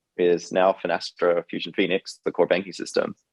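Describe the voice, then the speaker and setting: A man speaks at a very deep, low pitch with a slight Australian accent. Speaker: fintech CEO and co-founder. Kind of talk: interview.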